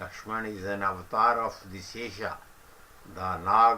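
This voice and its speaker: Speaking with an Indian accent, a man uses a fairly low pitch and a bright, sharp tone at a fairly slow pace. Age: old. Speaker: senior citizen sharing reminiscences. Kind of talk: reminiscence talk and story retelling.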